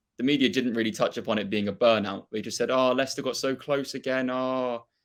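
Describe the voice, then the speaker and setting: In a very clean recording with a silent background, a man with a Norfolk accent talks very fast at a medium pitch with fairly even intonation. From England, Norfolk. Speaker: football fan and YouTuber. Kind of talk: casual chat.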